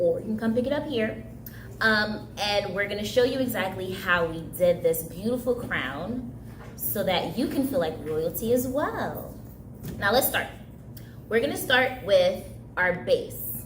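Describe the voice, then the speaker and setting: A woman's lively intonation and fairly slow delivery come through audible room echo and noticeable background noise. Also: medium pitch for a woman. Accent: Haitian. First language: Haitian Creole. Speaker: summer camp craft instructor. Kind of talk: craft tutorial.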